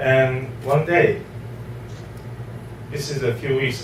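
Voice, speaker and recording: In a non-native accent, a man at a medium pitch talks with fairly even intonation, with noticeable background noise and audible room echo. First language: not English. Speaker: real estate investor. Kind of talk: testimony.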